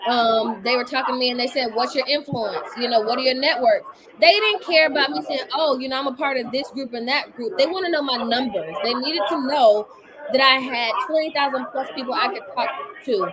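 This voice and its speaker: A woman speaks at a fairly quick pace in a high pitch, her tone animated and her intonation lively. Noticeable background noise sits behind her. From Washington DC area. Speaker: ministry researcher and livestream host. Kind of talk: live-stream talk to an audience.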